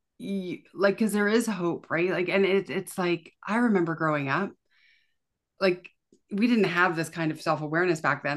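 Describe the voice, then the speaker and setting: With a Canadian accent, a woman talks at a fairly quick pace in a plain, everyday voice with ordinary pitch variation. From Canada. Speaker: chronic pain coach and family routine educator. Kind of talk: casual interview chat.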